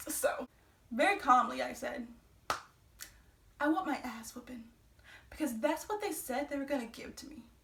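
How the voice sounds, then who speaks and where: A woman speaks in a high-pitched voice. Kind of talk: storytime talk to camera. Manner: fast when excited; casual, profane.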